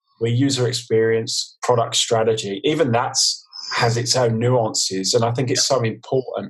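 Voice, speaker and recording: A man with a London accent, medium pitch, fairly even intonation, very even loudness and a moderate pace. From East London, England. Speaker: design consultant. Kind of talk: casual interview chat. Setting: video call.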